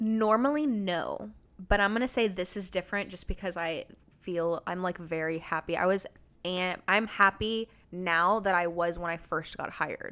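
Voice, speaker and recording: A woman with an American accent speaks at a moderate pace and a medium pitch, with ordinary pitch variation and a bright, sharp tone. The recording is very clean, with a silent background. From Texas. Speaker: interior designer. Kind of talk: casual chat.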